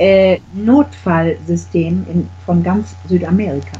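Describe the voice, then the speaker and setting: A woman talks over noticeable background noise. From Germany. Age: middle-aged. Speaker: real estate agent. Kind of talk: casual interview.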